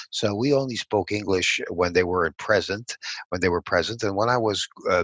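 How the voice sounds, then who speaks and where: With a Montreal accent, a man talks at a fairly quick pace in a fairly low voice with ordinary pitch variation. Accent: Montreal anglophone Canadian English. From Montreal, Quebec. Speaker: political strategist. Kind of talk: interview.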